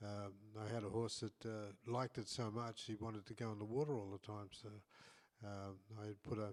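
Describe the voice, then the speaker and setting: Speaking in an Australian accent, a man talks at a moderate pace with a fairly low pitch and monotone, flat intonation. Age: 80s+. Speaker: saddle maker and podcast co-host. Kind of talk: casual chat. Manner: halting, with many repeated words.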